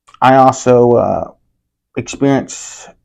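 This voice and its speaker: A man with an American accent and monotone, flat intonation against a quiet background. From Texas, Grand Saline (east Texas). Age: 20s. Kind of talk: interview testimony. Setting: on location, not in studio.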